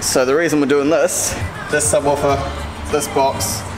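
A man speaks at a fairly slow pace. Music plays in the background. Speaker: car audio installer vlogger. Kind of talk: casual vlog chat. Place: workshop. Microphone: phone near.

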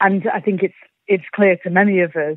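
A woman speaks in a Yorkshire accent. Her pitch is fairly low and her intonation flat and monotone. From Yorkshire, England. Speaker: climate activist. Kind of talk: interview.

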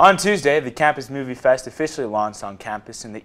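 A man is speaking. His pace is very fast. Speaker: news anchor. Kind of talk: studio newscast read from a script. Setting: studio. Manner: clear, steady and formal, newsreader style.

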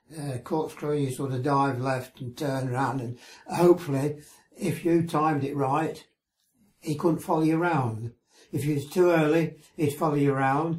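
Somewhat breathy, a man speaks at a moderate pace. His intonation stays fairly even. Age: 80s+. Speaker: war veteran. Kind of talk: interview answer. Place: home room.

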